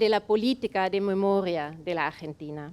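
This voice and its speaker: This voice belongs to a woman. Her speech carries a German accent. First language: German (speaking Spanish). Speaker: foundation representative. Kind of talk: welcome speech read from notes. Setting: event venue with audience.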